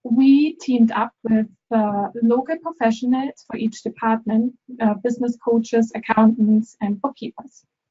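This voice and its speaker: At a moderate pace, a woman with a German accent speaks at a fairly high pitch with fairly even intonation. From Germany. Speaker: bookkeeper. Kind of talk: webinar presentation. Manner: hesitant, with fillers.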